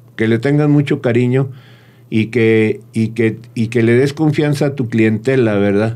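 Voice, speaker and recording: The man's dark, mellow voice keeps fairly even intonation and very even loudness. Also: medium pitch for a man, fairly slow pace. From Torreón, Mexico (Comarca Lagunera); Mexico. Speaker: restaurant owner; guest. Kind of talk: interview. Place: studio. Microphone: studio mic.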